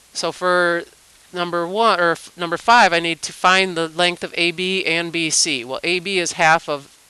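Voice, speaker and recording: Amid noticeable background noise, a woman speaks fairly slowly at a fairly low pitch. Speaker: math teacher. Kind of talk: tutorial.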